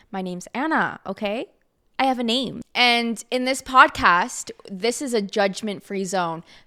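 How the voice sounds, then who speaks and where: A woman talks in a bright, sharp tone, with pitch that varies in an ordinary way. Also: fairly high pitch for a woman, fairly slow pace, very clean recording, silent background. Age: 20s. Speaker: podcast host. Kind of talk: casual monologue.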